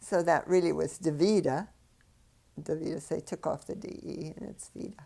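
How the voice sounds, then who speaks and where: With an American accent, a woman speaks at a moderate pace in a fairly low voice with vocal fry. Her intonation is fairly even, but her loudness swings a lot. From US Midwest, Chicago area. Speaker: retired ballet dancer. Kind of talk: oral history interview. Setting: filmed interview. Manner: halting, with many fillers.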